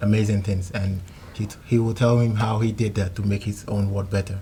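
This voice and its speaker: A somewhat breathy, dark and mellow voice at a moderate pace, with monotone, flat intonation. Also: man. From Nigeria. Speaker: trainee. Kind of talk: interview at showcase event.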